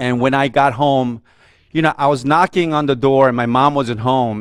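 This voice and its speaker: This man talks at a fairly slow pace with fairly even intonation and medium pitch, in a Korean accent. The recording is very clean, with a silent background. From South Korea (Seoul), raised in New York from age seven. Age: 50s. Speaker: media executive speaking at a men's fellowship. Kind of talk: testimony.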